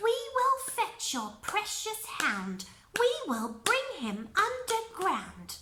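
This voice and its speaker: Using a put-on character voice, a woman speaks very slowly at an extremely high pitch in a sing-song manner. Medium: read story. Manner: sing-song rhyming.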